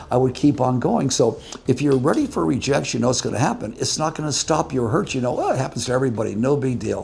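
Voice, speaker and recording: Over noticeable background noise, a man speaks at medium pitch with an American accent. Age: 80s+. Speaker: businessman. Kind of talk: interview answer.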